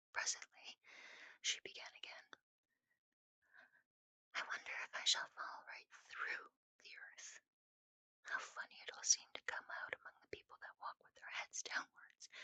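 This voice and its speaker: In a whisper, the speech keeps a moderate pace broken by long, frequent pauses. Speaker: ASMR storyteller. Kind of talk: sleep story. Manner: whispered.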